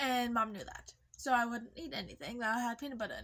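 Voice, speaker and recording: A woman speaks in a raised, projected voice. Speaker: vlogger. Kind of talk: casual storytelling vlog. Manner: casual, profane.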